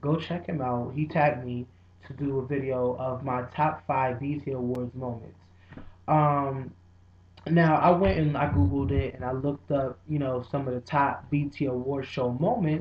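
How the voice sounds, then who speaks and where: Quiet and somewhat breathy, a man with a fairly high pitch speaks at a moderate pace with fairly even intonation. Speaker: video blogger. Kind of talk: casual vlog. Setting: dining room at home.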